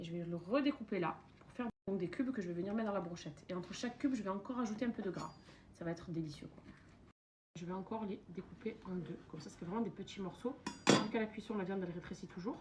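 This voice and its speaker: Big swings in loudness mark a woman speaking at a very fast pace, at a medium pitch with ordinary pitch variation. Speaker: lifestyle vlogger. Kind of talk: cooking tutorial vlog. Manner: casual, animated.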